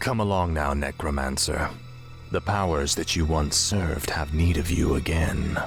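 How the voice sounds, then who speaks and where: Over clear background music, a man puts on a character voice with a very deep, low pitch and speaks at a moderate pace. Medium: machinima. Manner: cold, arrogant.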